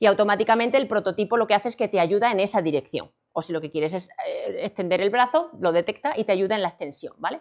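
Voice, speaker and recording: In a quiet background, a woman talks at a very fast pace with lively intonation and hardly any pauses. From Extremadura, Spain (Badajoz); Extremadura, Spain. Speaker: robotics researcher and lecturer; lecturer. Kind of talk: conference talk. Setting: stage with audience. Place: hall.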